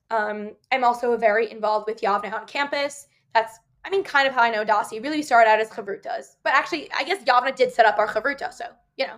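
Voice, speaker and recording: With a New Jersey accent, the speaker talks at a very fast pace using lively intonation. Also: woman, fairly high pitch for a woman. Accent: American (New Jersey). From New Jersey (Ridgewood). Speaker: university student. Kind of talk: casual interview chat.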